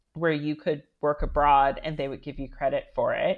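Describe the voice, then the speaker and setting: A woman speaks with an American accent in a very deep, low pitch. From US, Washington DC area. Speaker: writer and style consultant. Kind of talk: interview. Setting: remote recording.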